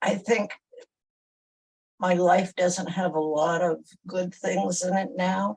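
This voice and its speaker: A woman speaks at a very slow pace, with long, frequent pauses. Her voice is somewhat breathy, at a medium pitch with ordinary pitch variation. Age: 80s+. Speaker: workshop participant. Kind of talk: coaching conversation.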